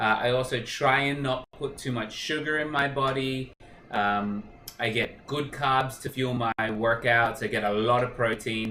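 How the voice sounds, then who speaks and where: A man speaks at a fairly slow pace while noticeable background noise goes on around him. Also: medium pitch for a man, fairly even intonation. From Australia. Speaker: cooking show host. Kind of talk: live cooking stream. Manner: casual, many fillers.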